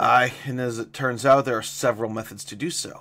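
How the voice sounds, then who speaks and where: Using a put-on character voice, a man speaks at a fairly quick pace in a raspy, medium-pitched voice with fairly even intonation. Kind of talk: archaic royal speech. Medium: read story. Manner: level, regal.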